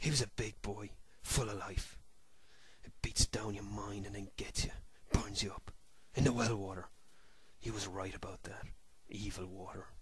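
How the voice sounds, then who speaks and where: A man speaks in a raspy, put-on character voice with fairly low pitch. His pace is moderate, broken by long, frequent pauses. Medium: read story. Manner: rustic dialect, broken and halting.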